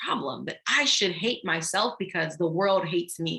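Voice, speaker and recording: With a Haitian accent, a woman speaks at a moderate pace. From Haiti, raised in Jacksonville, Florida. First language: Haitian Creole. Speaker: anti-racism educator and workshop leader. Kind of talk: online workshop talk.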